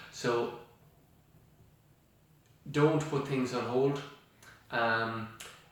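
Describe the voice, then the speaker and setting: Noticeable background noise sits under this male voice. His pitch is medium, and his intonation stays fairly even. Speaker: estate agent / auctioneer. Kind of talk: casual talk to camera. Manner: hesitant, many filler sounds.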